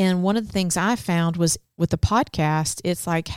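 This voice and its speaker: In an ordinary speaking voice, a woman talks at a moderate pace and a fairly low pitch, on a very clean recording with a silent background and a dry, close sound with no echo. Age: 40s. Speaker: podcast co-host for church leaders. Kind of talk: casual chat.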